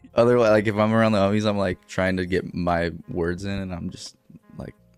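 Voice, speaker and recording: A man talks at a fairly quick pace in a fairly low pitch, with fairly even intonation and big swings in loudness. Music sits in the background. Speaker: interviewee, independent creator selling merch.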